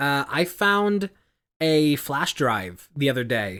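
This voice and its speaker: Recorded very cleanly with a silent background, a man speaks with a bright, sharp tone and lively intonation. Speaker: podcast co-host. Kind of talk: casual chat. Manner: projected volume.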